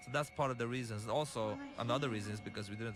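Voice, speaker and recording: Music plays in the background as a man with an Arabic accent talks at a very fast pace with fairly even intonation. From Lebanon. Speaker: game director and filmmaker. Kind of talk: developer commentary. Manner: halting.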